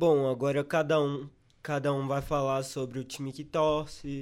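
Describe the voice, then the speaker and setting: An unremarkable speaking voice from a man, fairly high in pitch, with fairly even intonation at a fairly slow pace. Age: 20s. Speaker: journalism student, podcast co-host. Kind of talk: casual chat.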